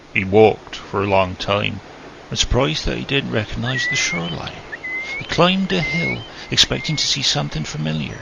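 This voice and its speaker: The man's delivery is fairly quick. Behind it, background noise is noticeable. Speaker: narrator. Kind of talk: storybook reading.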